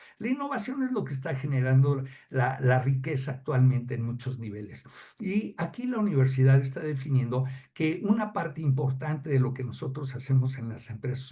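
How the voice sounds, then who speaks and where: A man with a medium-pitched, dark and mellow voice, slightly breathy, speaks at a moderate pace with ordinary pitch variation. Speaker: customs advisor. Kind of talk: podcast interview explaining technical topic. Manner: halting, many fillers.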